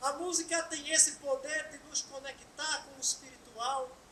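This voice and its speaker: Amid audible room echo, a woman with a northeastern Brazilian accent speaks in a raised, projected voice at a high pitch and very slow pace, her tone bright and sharp, with ordinary pitch variation. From Brazil, Pernambuco (Bom Jardim). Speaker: spiritist lecturer. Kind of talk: lecture.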